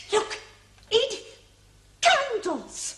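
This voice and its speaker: Squeaky put-on character voice from a woman, extremely high in pitch. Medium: short film. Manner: fretful, anxious.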